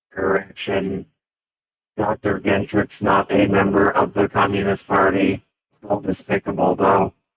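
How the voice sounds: A man uses a put-on character voice at a fairly low pitch. He keeps a moderate pace in a monotone, flat intonation.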